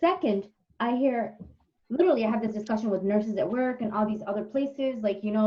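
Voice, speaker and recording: A woman talks at a fairly quick pace. Her voice is fairly high in pitch and somewhat breathy. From Somalia. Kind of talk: casual chat. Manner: animated.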